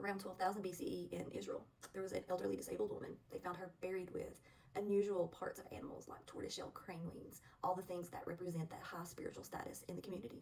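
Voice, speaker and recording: A woman with a Southern US accent talks at a very fast pace. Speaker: spiritual vlogger, witch. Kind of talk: casual talk to camera. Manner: relaxed, hesitant with fillers.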